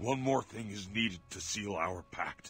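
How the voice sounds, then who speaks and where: A man's put-on character voice, raspy and fairly low in pitch. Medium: video game. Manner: grim, intense.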